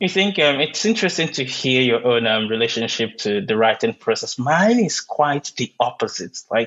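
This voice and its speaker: At a moderate pace and medium pitch, a man with a Nigerian accent speaks with hardly any pauses and very wide pitch swings. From southeastern Nigeria. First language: Igbo. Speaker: poet. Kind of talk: interview. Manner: hesitant, many fillers.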